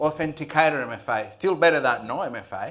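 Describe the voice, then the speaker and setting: With a Spanish accent, a man talks at a moderate pace and a fairly high pitch. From Venezuela. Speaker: IT security business owner. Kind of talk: panel discussion.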